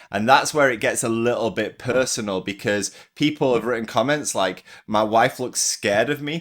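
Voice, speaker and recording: In a very clean recording with a silent background, a man with an English accent speaks at a moderate pace and a medium pitch with ordinary pitch variation. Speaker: vlogger. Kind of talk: casual vlog monologue. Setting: walking around at home. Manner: energetic, intense.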